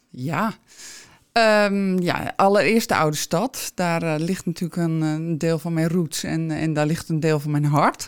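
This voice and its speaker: A woman with a plain, everyday voice speaks at a fairly low pitch and a fairly slow pace. The recording is very clean, with a silent background. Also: fairly even intonation. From Alkmaar, North Holland, Netherlands. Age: 50s. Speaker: shop owner, entrepreneur. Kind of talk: interview.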